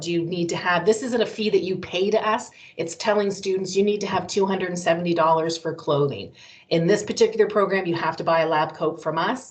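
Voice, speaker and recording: The pace is fairly quick. A woman speaks at a medium pitch. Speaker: college recruiter. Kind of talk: presentation. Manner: fast.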